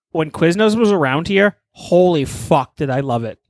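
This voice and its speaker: An unremarkable speaking voice, a man with an American accent talks at a moderate pace with ordinary pitch variation, recorded dry and close with no echo on a very clean recording with a silent background. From Texas. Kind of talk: casual chat.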